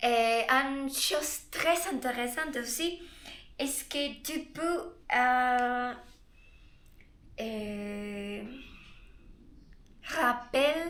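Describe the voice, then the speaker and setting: Audible room echo surrounds a woman speaking at a very slow pace. Her pitch is high, her tone bright and sharp, and her intonation lively. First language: Spanish (speaking French). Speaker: Spanish tutor. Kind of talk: guided meditation; casual self-introduction. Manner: halting, searching for words.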